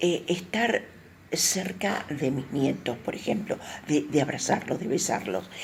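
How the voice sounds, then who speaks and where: A woman speaks at a fairly slow pace with a very deep, low pitch. Her pitch swings very widely. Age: 70s. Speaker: older adult giving testimony. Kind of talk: testimony.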